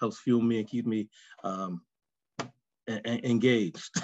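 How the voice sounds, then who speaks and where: A man with a New York accent and fairly even intonation, in a dry sound with no echo against a quiet background. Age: 50s. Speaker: coach. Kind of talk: casual group discussion. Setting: video call. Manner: halting. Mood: grateful, positive. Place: home room. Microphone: video call.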